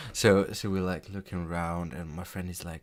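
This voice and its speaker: This man speaks with a non-native accent. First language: not English. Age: 20s. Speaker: gaming YouTuber. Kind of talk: story time. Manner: halting.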